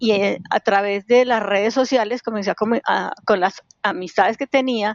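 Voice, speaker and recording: A woman talks in a normal speaking voice with fairly high pitch. Her intonation is fairly even and her pace moderate. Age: 60s. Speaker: cycling activist, collective founder. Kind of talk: interview.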